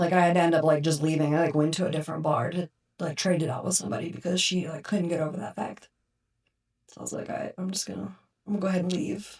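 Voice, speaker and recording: Talking at a very fast pace, a woman with fairly low pitch shows vocal fry and ordinary pitch variation. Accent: American. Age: 30s. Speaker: burn survivor. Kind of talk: casual chat. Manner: animated.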